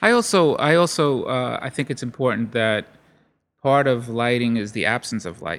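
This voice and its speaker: On a very clean recording with a silent background, a man with a New York accent speaks at a medium pitch with ordinary pitch variation. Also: moderate pace. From Brooklyn, New York. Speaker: lighting company owner. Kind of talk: interview. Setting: event studio.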